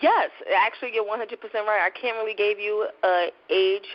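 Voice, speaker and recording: A woman with a New York accent talks at a fairly quick pace. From New York, Brooklyn. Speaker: novelist. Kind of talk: interview. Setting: internet radio show.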